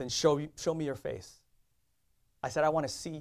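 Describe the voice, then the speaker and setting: This man's voice sits fairly high in pitch. He talks at a moderate pace. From Indonesia, raised in US. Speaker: preacher sharing testimony. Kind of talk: sermon with personal testimony.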